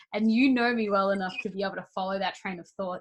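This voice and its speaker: In an Australian accent, a woman talks at a medium pitch. Her intonation stays fairly even. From Queensland, Australia. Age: 20s. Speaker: podcast host. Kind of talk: casual chat. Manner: fast, changes course mid-sentence.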